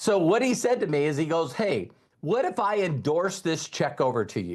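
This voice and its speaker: A man with a fairly high voice and vocal fry speaks at a moderate pace. His pitch swings very widely. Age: 60s. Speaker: network marketing trainer. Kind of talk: motivational training talk.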